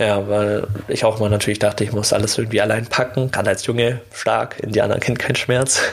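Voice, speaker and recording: A man speaks very fast at a fairly low pitch, with monotone, flat intonation and very even loudness. Noticeable background noise runs underneath. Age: 20s. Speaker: podcast host, former bullying victim. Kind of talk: personal storytelling monologue. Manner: casual, many fillers.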